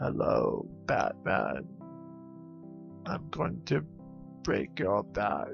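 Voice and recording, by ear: Over clear background music, a put-on character voice with a menacing tone speaks at a very slow pace, leaving long, frequent pauses. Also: man.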